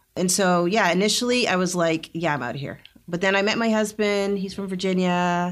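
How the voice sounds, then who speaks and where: A woman with a plain, everyday voice speaks at a fairly quick pace and ordinary pitch variation in a very clean recording with a silent background. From Canada, Northern Alberta, Jamaican family. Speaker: nurse and nonprofit co-founder. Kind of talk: interview conversation.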